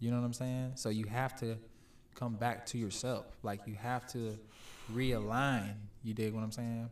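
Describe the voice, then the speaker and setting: A man's medium-pitched, monotone voice with flat intonation, at a moderate pace, with audible room echo. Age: 20s. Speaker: podcast guest. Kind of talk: casual chat.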